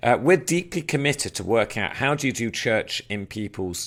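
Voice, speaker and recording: You can hear an English accent. It belongs to a man. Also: very clean recording, silent background. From England. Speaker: church planter and trainer. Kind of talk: recorded training talk. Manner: hesitant, many filler words.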